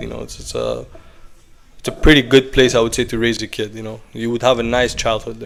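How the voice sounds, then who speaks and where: Noticeable background noise runs under the clip. A man talks at medium pitch with fairly even intonation. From Iran, raised in Athens, Greece. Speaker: investor. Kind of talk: casual chat.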